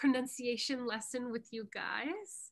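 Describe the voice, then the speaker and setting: In a raised, projected voice, a woman with a Canadian accent speaks at a high pitch and fairly slow pace with a bright, sharp tone. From Canada. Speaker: English pronunciation coach. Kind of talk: online lecture.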